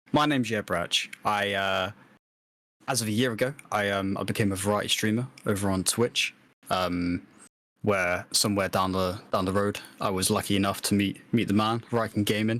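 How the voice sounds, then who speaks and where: A man with a British accent, fairly low in pitch, at a moderate pace with fairly even intonation, on a very clean recording with a silent background. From UK. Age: 20s. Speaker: podcast co-host and streamer. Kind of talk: casual podcast chat. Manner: halting, many fillers.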